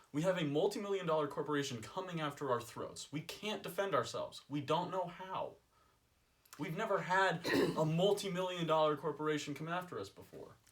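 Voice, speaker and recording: Here is a man with an American accent and a high pitch. His pitch variation is ordinary, and noticeable background noise can be heard. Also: fairly quick pace. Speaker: college student. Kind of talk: casual chat.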